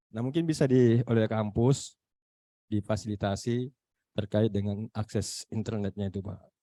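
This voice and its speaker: A man speaks at a moderate pace in a fairly low pitch, his tone dark and mellow. His pitch varies in an ordinary way, and the sound is dry and close with no echo. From Makassar, South Sulawesi. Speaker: university lecturer. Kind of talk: online meeting discussion. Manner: halting, many fillers.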